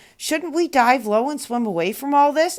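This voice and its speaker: A woman does a put-on character voice at a high pitch. She keeps a moderate pace. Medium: read story. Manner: innocent, earnest.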